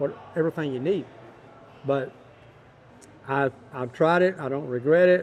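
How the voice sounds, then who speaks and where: In a West Texas accent, a man talks at a moderate pace and fairly high pitch, leaving long, frequent pauses. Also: ordinary pitch variation. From Texas, Big Spring. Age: 70s. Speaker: Western swing musician. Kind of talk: casual interview.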